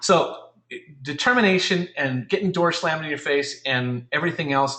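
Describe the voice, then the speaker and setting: Fairly high in pitch for a man, his bright, sharp voice moves at a fairly quick pace with ordinary pitch variation. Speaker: real estate coach. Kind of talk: webinar coaching. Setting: online webinar. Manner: halting.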